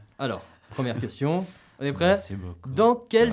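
A man speaks with very wide pitch swings. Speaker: radio host. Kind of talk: casual radio talk show. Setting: radio studio. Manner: energetic.

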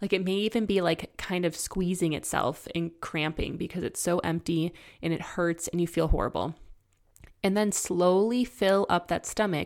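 On a very clean recording with a silent background, a woman talks in a plain, everyday voice. Her pitch is medium with ordinary variation, and her pace is moderate. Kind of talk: guided imagery exercise within an educational talk. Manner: calm, instructive, coaxing the listener step by step; warm and conversational with light laughter.

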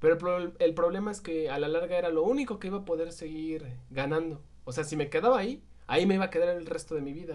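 This man's voice sits at a fairly high pitch. He talks at a fairly quick pace with ordinary pitch variation. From Mexico City. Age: 20s. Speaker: podcast co-host. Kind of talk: casual chat. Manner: animated.

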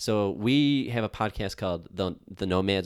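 This speaker is a man. He has a Western New York accent. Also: very clean recording, silent background. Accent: Western New York (Inland North) American. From Buffalo, New York. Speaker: graphic designer and business owner. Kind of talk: interview.

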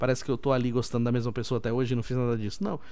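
This man talks at a very fast pace with a medium pitch. His tone is dark and mellow. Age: 30s. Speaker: podcast host. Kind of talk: casual solo podcast talk. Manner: animated.

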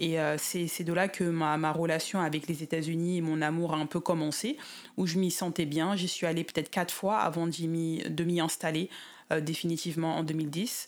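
On a very clean recording with a silent background, a woman with a fairly low pitch talks at a moderate pace, her loudness very even and her intonation monotone and flat. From Paris suburbs, Seine-Saint-Denis (93), France. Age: 30s. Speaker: expatriate interviewee. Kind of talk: interview. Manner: halting.

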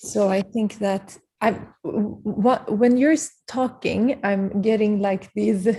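A woman with a medium pitch and a dark, mellow tone speaks very slowly, somewhat breathy, with fairly even intonation. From Sweden. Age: 30s. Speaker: podcast host, yoga teacher. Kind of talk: casual chat. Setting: video call.

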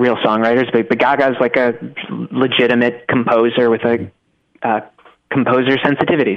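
This man has a medium pitch and fairly even intonation. He uses a normal speaking voice. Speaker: staff writer. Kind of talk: casual chat.

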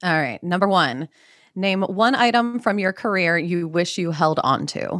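An ordinary speaking voice, a woman at medium pitch with lively intonation and a fairly slow pace, on a very clean recording with a silent background. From US Mid-Atlantic (Maryland). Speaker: podcast co-host. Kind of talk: casual chat and interview.

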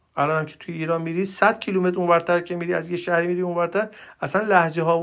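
A man's high-pitched, animated voice in an Isfahan accent, at a very fast pace over a quiet background. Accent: Najafabadi (Isfahan) accent, still present. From Iran, Najafabad. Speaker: podcaster, political commentator. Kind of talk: solo monologue, political commentary. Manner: animated, exasperated.

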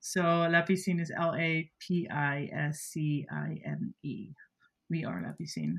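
A woman speaks with a Dutch accent. Her pace is fairly slow. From Netherlands. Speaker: content creator and creative agency founder. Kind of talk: interview.

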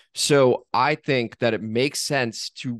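The recording has a dry, close sound with no echo, carrying a man's normal speaking voice at a medium pitch with ordinary pitch variation. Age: 30s. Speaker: sports podcast host. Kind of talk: casual chat.

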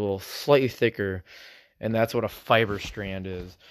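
In an ordinary speaking voice, a man talks at a moderate pace with ordinary pitch variation on a very clean recording with a silent background. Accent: American. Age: 20s. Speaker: podcaster and National Guard soldier. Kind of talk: casual solo podcast monologue. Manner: rambling, casual, self-conscious.

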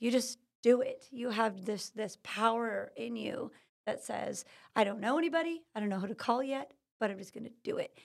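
A woman speaks in an American accent with a fairly high pitch and ordinary pitch variation. Vocal fry colors her voice. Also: moderate pace, big swings in loudness. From California. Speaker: natural healing business owner. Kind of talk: interview. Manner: energetic.

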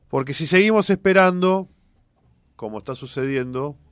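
A moderate pace in a Rioplatense accent, on a very clean recording with a silent background. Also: man. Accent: Argentine Spanish (rioplatense). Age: 40s. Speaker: politician, candidate for governor. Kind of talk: radio interview.

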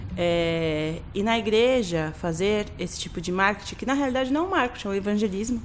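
Amid noticeable background noise and audible room echo, a woman speaks at a medium pitch and a fairly quick pace with lively intonation and hardly any pauses. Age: 30s. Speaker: graphic designer. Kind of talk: casual chat.

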